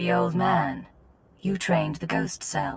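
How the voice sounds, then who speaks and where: The voice is a put-on character voice. It moves at a fairly slow pace. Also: woman. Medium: video game. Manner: cool, dry.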